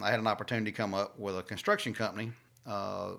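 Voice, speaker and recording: Talking at a very fast pace with a Southern US accent, a man uses a bright, sharp tone and fairly even intonation in a very clean recording with a silent background. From Louisiana, south of Alexandria. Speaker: fleet manager. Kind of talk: casual interview.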